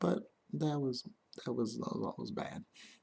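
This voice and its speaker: Soft-spoken man. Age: 20s. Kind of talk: ASMR get-to-know-me tag video, soft casual talk to camera. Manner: soft-spoken, gentle.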